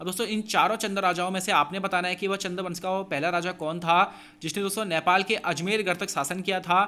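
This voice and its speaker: A man's high-pitched, bright and sharp voice, raised and projected at a moderate pace, on a very clean recording with a silent background. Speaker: exam coaching teacher. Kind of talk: tutorial.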